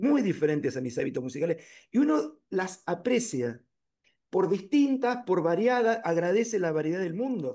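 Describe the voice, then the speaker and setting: A man's high voice, dark and mellow in tone, at a moderate pace with very wide pitch swings. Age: 60s. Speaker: painter. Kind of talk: lecture discussion.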